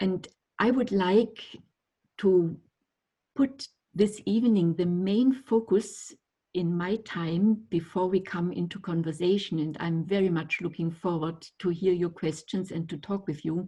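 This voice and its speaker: A woman with a German accent speaks at a medium pitch and a fairly slow pace, with ordinary pitch variation. Her tone is dark, mellow and somewhat breathy, over a quiet background. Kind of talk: lecture. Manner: halting.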